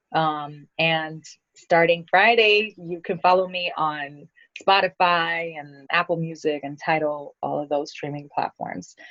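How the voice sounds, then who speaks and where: With big swings in loudness, a woman speaks at a fairly slow pace and a fairly low pitch. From New York (born in Brazil). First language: Portuguese. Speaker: singer-songwriter. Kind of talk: radio interview.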